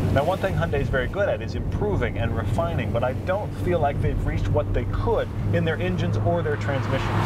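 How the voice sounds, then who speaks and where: A man talks at a fairly quick pace with hardly any pauses. Loud background noise runs underneath. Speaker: car reviewer driving. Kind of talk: commentary. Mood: enthusiastic, thoughtful. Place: car.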